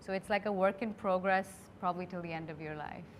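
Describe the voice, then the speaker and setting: A woman speaks with an Indian accent. Her pitch is medium, with ordinary variation. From India (Delhi). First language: Hindi. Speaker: creator turned beauty brand founder. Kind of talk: interview conversation.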